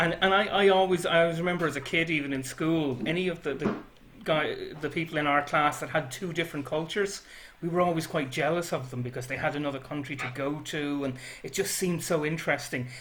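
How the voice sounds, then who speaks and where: A man with a Dublin accent speaks at a very fast pace, his fairly high pitch following fairly even intonation. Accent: Irish (Dublin). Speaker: librarian interviewer. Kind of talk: interview.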